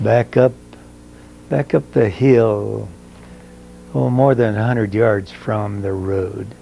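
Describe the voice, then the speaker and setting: A man's fairly low voice with lively intonation at a very slow pace, broken by long, frequent pauses, over noticeable background noise. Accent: American. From southeastern Colorado, rural farm. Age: 80s+. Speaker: oral history interviewee. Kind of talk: oral history interview. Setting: at his home. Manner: halting, many fillers.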